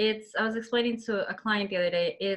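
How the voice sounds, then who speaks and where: A woman with a Colombian accent and fairly even intonation. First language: Spanish. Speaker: interviewer. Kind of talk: interview.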